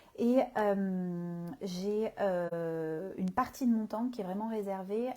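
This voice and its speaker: A woman speaks at a medium pitch with a dark, mellow tone. Her intonation is fairly even. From southern France, Marseille. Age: 30s. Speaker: communication consultant and coach. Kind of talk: live stream talk. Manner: hesitant, many fillers.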